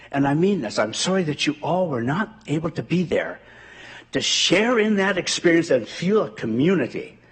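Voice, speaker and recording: This man speaks in an Ontario accent, his pitch high. His pace is moderate and his intonation lively. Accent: rural Ontario Canadian. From rural southwestern Ontario, Canada. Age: 80s+. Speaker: community member speaking at a school board meeting. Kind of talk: public address at a meeting. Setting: school board meeting with audience. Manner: earnest, with some halting repetitions.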